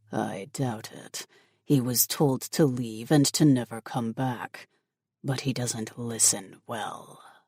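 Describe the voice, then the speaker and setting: This is a put-on character voice pitched in the low-to-middle range, delivered at a fairly slow pace. The recording is very clean, with a silent background. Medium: read story. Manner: commanding, curt.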